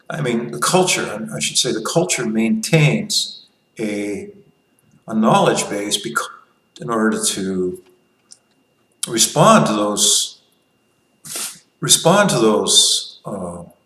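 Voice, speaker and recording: Amid audible room echo, a man with a bright, sharp tone speaks at a very slow pace, his pitch swinging very widely, with long, frequent pauses. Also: medium pitch for a man. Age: 60s. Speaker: libertarian commentator. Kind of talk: casual monologue. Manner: halting, with many restarts.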